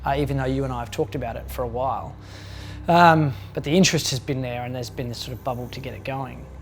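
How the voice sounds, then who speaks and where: A man talking very fast, with audible room echo and music in the background. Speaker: actor and audiobook narrator. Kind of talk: casual chat.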